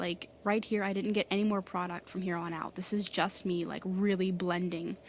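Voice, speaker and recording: A woman speaks very fast with fairly even intonation. The recording is very clean, with a silent background. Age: 20s. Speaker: beauty vlogger. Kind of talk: tutorial.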